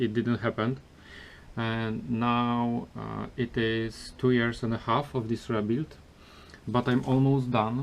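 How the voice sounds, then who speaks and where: The speaker has a Polish accent. The delivery is very slow. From Poland. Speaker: car restoration vlogger. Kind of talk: casual vlog. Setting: garage. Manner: halting, many filler sounds.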